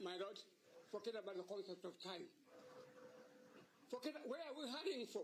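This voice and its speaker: A man talks loudly at a fairly quick pace, his pitch swinging very widely. He leaves long, frequent pauses. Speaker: senior advocate. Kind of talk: court submission. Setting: courtroom. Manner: formal.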